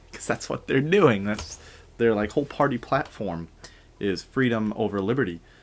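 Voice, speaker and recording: Quiet and at a moderate pace, a man speaks at a fairly low pitch with lively intonation. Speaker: podcast host. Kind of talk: casual book-reading podcast chat. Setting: home recording at night. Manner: hushed, quiet.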